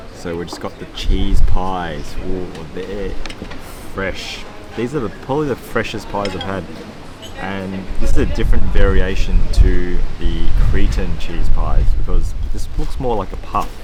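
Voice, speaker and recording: Someone with an Australian accent speaks at a fairly slow pace with big swings in loudness. Noticeable background noise and audible room echo accompany the voice. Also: man. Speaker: food travel vlogger. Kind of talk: casual food vlog commentary. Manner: animated.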